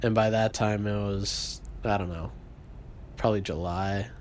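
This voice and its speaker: A man speaks at a fairly slow pace in a fairly low voice. Noticeable background noise and audible room echo are present. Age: 20s. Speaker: podcast co-host. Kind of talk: casual chat.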